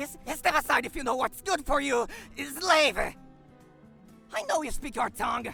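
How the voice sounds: This put-on character voice has a bright, sharp tone and vocal fry, moving at a fairly slow pace with lively intonation over faint music in the background.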